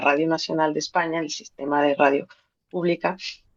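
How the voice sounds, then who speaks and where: Dry and close with no echo, a woman's fairly low voice comes through in a Mexican accent. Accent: Mexican accent, noticeable in Spain. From Mexico, Guadalajara. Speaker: poet and radio presenter. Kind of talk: interview conversation. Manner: animated.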